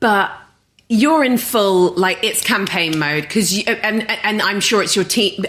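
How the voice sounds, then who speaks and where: Using a normal speaking voice at a medium pitch, a woman talks fairly slowly, with ordinary pitch variation. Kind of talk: podcast host conversation.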